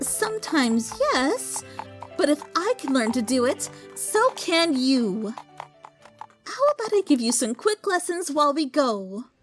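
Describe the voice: A put-on character voice, female-sounding and high-pitched for a woman, at a fairly slow pace over faint background music.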